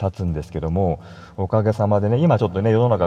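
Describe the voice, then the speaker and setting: The man's tone is dark and mellow, and the background stays quiet. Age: 40s. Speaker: solo podcaster and web designer. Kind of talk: casual solo monologue. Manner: conversational, many fillers.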